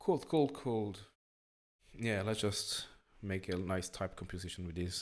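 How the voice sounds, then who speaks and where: A man's very deep, low voice at a fairly slow pace with ordinary pitch variation. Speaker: graphic designer. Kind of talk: casual tutorial talk while working.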